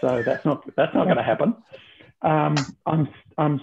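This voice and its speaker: With an Australian accent, a man speaks at a moderate pace in a fairly high pitch. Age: 60s. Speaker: former reality TV contestant. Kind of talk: casual chat. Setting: video call. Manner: halting.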